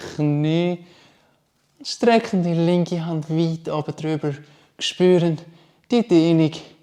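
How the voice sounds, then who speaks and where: A man with a Swiss accent talks very slowly at a fairly high pitch, his tone dark and mellow and his intonation fairly even. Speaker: yoga instructor. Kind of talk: guided yoga class instruction.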